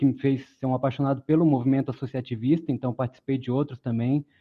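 A man with a medium pitch talks at a very fast pace in a monotone, flat intonation. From Brazil, born in Pará, raised in several cities. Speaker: former city council candidate, economist. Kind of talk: webinar panel discussion.

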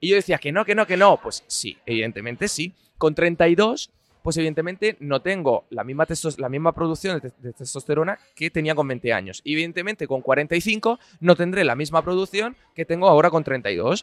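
With lively intonation, a man talks at a moderate pace in an ordinary speaking voice. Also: fairly high pitch for a man, dry, close sound with no echo. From Italy. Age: 30s. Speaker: personal trainer. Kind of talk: casual interview. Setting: café.

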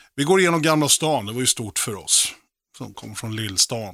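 The voice has a bright, sharp tone and lively intonation at a moderate pace, recorded dry and close with no echo. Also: man. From Sweden, Oxelösund, Sörmland. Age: 40s. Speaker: rock drummer and guest radio presenter. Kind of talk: personal radio monologue with music. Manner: casual, slangy.

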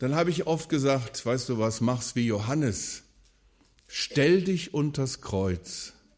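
A man talks with lively intonation at a fairly slow pace, recorded very cleanly against a silent background. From western Germany, Wuppertal. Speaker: evangelist and preacher. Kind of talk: lecture / sermon at a conference. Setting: conference hall with audience.

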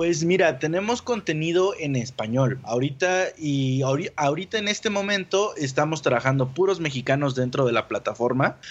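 An unremarkable speaking voice from a man, fairly high in pitch, with lively intonation, a moderate pace and hardly any pauses. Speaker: podcast network founder. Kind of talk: casual interview.

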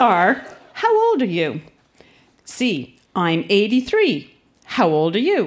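Very wide pitch swings mark a woman's speech at a very slow pace. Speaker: social worker. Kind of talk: reading aloud. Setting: stage with audience.

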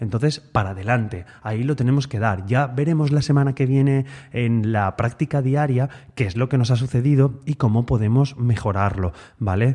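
A man's somewhat breathy voice, dark and mellow in tone, at a medium pitch with ordinary pitch variation. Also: moderate pace. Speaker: guitar teacher and podcast host. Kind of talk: solo podcast monologue. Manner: tends to speed up when excited; trying to speak calmly and relaxed.

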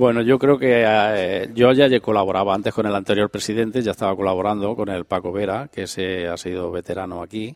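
With a normal speaking voice, a man talks at a fairly quick pace with hardly any pauses, a fairly low pitch and fairly even intonation, recorded dry and close with no echo. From Andalusia, Spain. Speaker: president of a regional cultural association. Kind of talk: radio interview.

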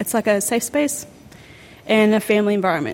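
This woman talks at a moderate pace in a medium pitch with ordinary pitch variation. Noticeable background noise runs under her voice. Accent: Australian. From New South Wales South Coast. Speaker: amateur boxer. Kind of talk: interview monologue.

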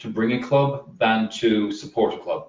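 A man in an Irish accent, with music in the background. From rural Ireland. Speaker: soccer fan group leader. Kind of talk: casual chat. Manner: playful.

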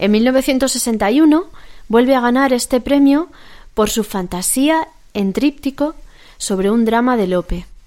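The recording is very clean with a silent background. A woman with a high pitch and a dark, mellow tone speaks at a very slow pace. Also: ordinary pitch variation. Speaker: classical music radio co-host. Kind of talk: radio presenting, scripted and casual.

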